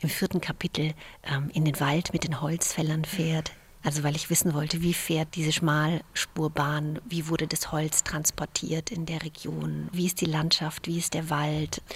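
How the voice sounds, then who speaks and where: Flat, monotone delivery from a woman, very deep and low in pitch, fairly slow in pace. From Romania (Banat), raised in Germany from age eight. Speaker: novelist. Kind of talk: interview about her novel. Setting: memorial site, partly outdoors in cold.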